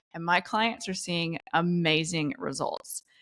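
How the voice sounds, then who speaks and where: On a very clean recording with a silent background, a woman with a slight Southern US accent speaks in an animated tone. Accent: slight Southern accent, shows in some words. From US South, Charlotte, North Carolina. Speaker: LinkedIn coach and entrepreneur. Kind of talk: podcast interview.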